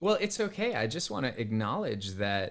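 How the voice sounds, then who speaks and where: Here a man of medium pitch talks at a moderate pace. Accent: American. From California, US West. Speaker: business founder and facilitation trainer. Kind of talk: casual interview. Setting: video call.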